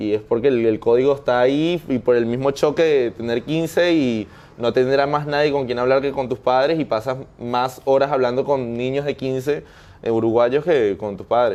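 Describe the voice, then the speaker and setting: A man at a moderate pace, with fairly even intonation. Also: medium pitch for a man. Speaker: interviewee, migrant. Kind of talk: interview conversation. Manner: hesitant, with many fillers and restarts.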